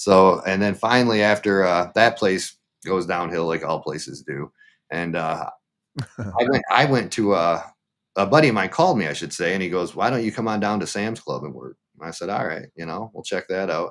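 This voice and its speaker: In a very clean recording with a silent background, a man with a Midwestern American accent speaks at a moderate pace, his very deep, low pitch carrying lively intonation. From Michigan. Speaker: livestreamer and former meat cutter. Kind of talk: interview answer. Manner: casual, conversational.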